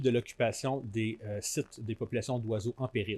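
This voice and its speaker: A man in a Quebec accent at a fairly quick pace. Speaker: conservation organization director, biologist. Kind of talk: conference talk. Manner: halting, frequent fillers and repetitions.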